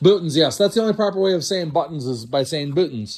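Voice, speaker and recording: Here is a man with a plain, everyday voice and a fairly high pitch. He moves at a fairly quick pace with lively intonation. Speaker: estate sale liquidator. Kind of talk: walkthrough video tour.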